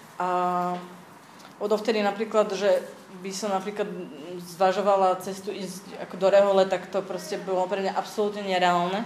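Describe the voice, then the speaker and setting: A woman at medium pitch, speaking at a moderate pace. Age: 30s. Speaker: church community member. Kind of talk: testimony. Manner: halting.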